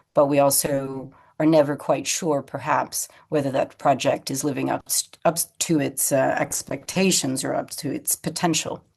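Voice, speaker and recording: Against a quiet background, a woman with a very deep, low pitch talks at a moderate pace in a monotone, flat intonation. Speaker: design consultant and keynote speaker. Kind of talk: keynote talk. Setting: remote video call into a conference. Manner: frequent fillers (um, uh).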